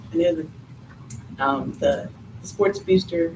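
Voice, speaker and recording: A woman speaks quietly at a very deep, low pitch, with audible room echo and noticeable background noise. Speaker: PTO treasurer. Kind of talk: meeting report. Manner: fast.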